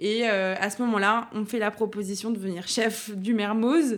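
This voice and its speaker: Fairly even intonation marks an unremarkable speaking voice in a very clean recording with a silent background. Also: woman. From Burgundy, France (Dijon, Auxerre). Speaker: chef. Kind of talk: interview.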